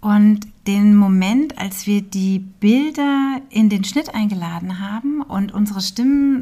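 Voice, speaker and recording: With noticeable background noise behind her, a woman talks in a medium-pitched voice with lively intonation. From Hesse, Germany (Hünfeld near Fulda). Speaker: documentary film director. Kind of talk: interview.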